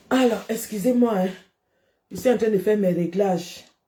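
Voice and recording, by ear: This woman's voice sits at a medium pitch, with a dark, mellow tone. Her pace is moderate and her pitch varies in an ordinary way.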